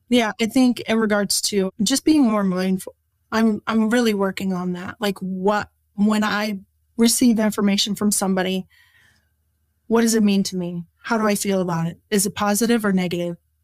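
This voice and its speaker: With an unremarkable speaking voice, a woman talks at a moderate pace and a medium pitch with fairly even intonation, on a very clean recording with a silent background and a dry, close sound with no echo. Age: 40s. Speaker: nurse. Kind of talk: casual interview.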